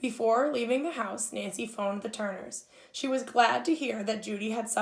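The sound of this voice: There is an unforced reading voice here, with ordinary pitch variation throughout.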